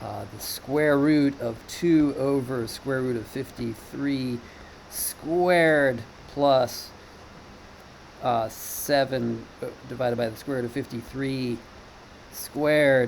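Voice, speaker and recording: A man talks very slowly at a medium pitch, leaving long, frequent pauses. His intonation stays fairly even against audible room echo. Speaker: teacher. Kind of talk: lecture. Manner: halting.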